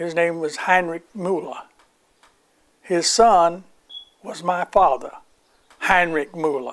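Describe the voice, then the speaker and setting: In an American accent, a man with a high pitch speaks at a very slow pace, leaving long, frequent pauses. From US South. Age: 90s. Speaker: World War II veteran. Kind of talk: oral history interview.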